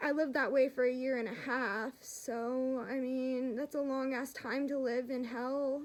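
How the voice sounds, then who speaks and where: A loud, high-pitched woman at a fairly slow pace, with hardly any pauses and a monotone, flat intonation. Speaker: vlogger sharing mental health story. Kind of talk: casual vlog talk to camera. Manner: rambling, halting with fillers.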